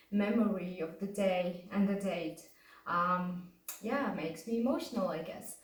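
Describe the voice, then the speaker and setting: A woman speaks very slowly at a medium pitch, with ordinary pitch variation and a somewhat breathy quality. Audible room echo surrounds her voice. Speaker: vlogger sharing injury recovery story. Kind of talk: personal testimony to camera. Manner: hesitant, many fillers.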